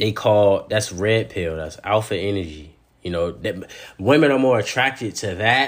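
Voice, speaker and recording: A man talks in an animated tone with lively intonation and a fairly low pitch. His pace is moderate. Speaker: podcast host and personal trainer. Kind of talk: casual solo podcast monologue on dating.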